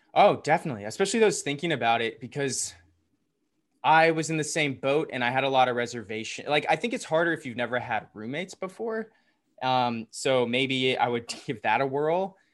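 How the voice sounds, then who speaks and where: With an American accent, a man talks at a fairly quick pace in an ordinary speaking voice, fairly high in pitch, his intonation lively against a quiet background. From US South, Atlanta. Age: 30s. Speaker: entrepreneur and DJ, co-living resident. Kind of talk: casual interview chat.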